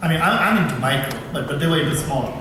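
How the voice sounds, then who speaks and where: In an Indian accent, a man speaks at a fairly high pitch. Audible room echo and noticeable background noise surround him. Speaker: professor and researcher. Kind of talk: conference talk. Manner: fast; halting, many repetitions.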